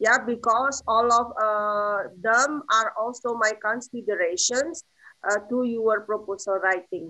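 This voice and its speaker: A woman speaks with an Indonesian accent at a fairly high pitch, her pitch varying in an ordinary way. She talks at a fairly slow pace over a quiet background. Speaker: thesis advisor, lecturer; lecturer. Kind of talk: academic feedback. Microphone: video call.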